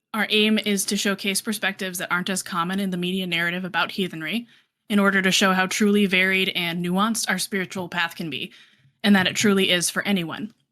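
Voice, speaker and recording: Bright and sharp in tone, the voice moves at a fairly quick pace with a General American accent in a very clean recording with a silent background. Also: woman. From Colorado. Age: 30s. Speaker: podcast host, librarian. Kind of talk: podcast intro and casual chat.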